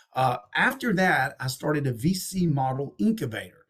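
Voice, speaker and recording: A man with a slight Southern accent and a fairly high pitch sounds somewhat breathy, his tone animated and his intonation lively. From Texas and Alabama. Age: 50s. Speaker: entrepreneur and investor, author. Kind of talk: podcast interview.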